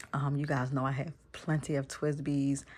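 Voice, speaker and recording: The speaker is a woman. She talks with a very deep, low pitch. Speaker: stationery YouTuber. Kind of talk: casual vlog talk. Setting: home bedroom. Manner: quiet, kept low to not wake kids; chatty, many fillers.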